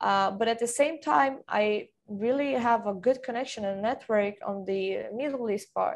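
Speaking with a Portuguese accent at a moderate pace, the voice has ordinary pitch variation and hardly any pauses, against a quiet background. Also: woman, fairly high pitch for a woman. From Brazil, Bragança Paulista then Sweden from age nine. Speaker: football industry professional. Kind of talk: interview. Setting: video call.

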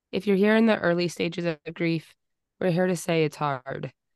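This is a normal speaking voice, a woman's, fairly low in pitch with fairly even intonation at a moderate pace. The recording is dry and close with no echo, over a quiet background. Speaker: podcast co-host. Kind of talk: casual chat.

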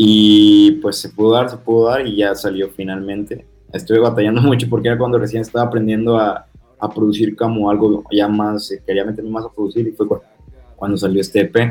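He has a plain, everyday voice. The man's delivery is fairly quick, and his intonation stays fairly even. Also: fairly low pitch for a man. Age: 20s. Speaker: rapper. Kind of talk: interview.

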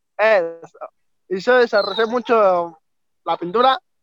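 At a very slow pace, a man with a high pitch and ordinary pitch variation is heard in a dry, close sound with no echo. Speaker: paralympic swimmer. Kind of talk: interview.

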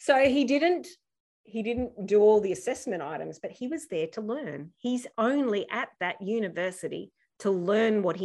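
A woman speaks with an Australian accent at a moderate pace. Her medium pitch moves in very wide swings. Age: 50s. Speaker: youth education program founder. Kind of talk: interview conversation.

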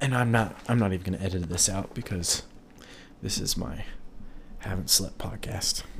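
Long, frequent pauses break up a somewhat breathy voice, with audible room echo around it. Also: man, fairly low pitch for a man, ordinary pitch variation, moderate pace. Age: 20s. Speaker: podcast host, also an electrician. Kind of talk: casual solo monologue. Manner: halting, many ums.

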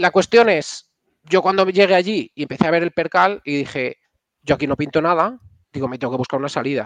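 A man's fairly quick, high-pitched speech with lively intonation and a dry, close sound with no echo. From Spain, Castile and León. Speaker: software engineer and startup founder. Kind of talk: casual interview.

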